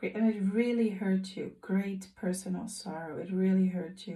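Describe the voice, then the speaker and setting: A woman of medium pitch speaks fairly slowly, somewhat breathy, with a dark, mellow tone and monotone, flat intonation. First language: not English. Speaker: tarot reader. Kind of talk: tarot reading. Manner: hesitant, with fillers and self-corrections.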